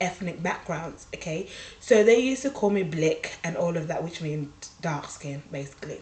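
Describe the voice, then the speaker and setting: Over noticeable background noise, a woman speaks at a moderate pace with a fairly low pitch and lively intonation. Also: big swings in loudness. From Uganda, long-time UK resident. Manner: conversational, hesitant with fillers.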